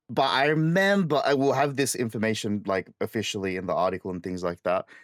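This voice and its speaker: A man with an Australian accent talks at a very fast pace, his medium pitch moving in very wide swings. The sound is dry and close with no echo, in a very clean recording with a silent background. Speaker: podcast host. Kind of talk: casual chat.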